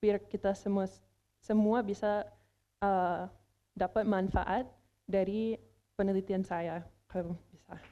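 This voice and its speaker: A woman with an English accent, medium pitch and dark, mellow tone, speaking in a flat monotone at a very slow pace with long, frequent pauses against a quiet background. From United States. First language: English (speaking Indonesian). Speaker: language competition contestant, researcher. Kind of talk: news report presentation; interview answer. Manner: halting, many fillers.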